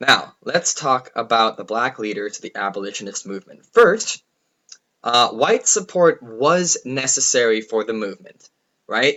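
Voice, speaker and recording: An unremarkable speaking voice from a man, medium-pitched and fairly slow, with lively intonation and big swings in loudness. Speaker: middle school history teacher. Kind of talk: lecture.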